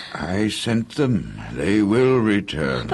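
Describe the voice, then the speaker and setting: A man puts on a character voice. He pitches it fairly low. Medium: audio drama. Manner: calm, steady.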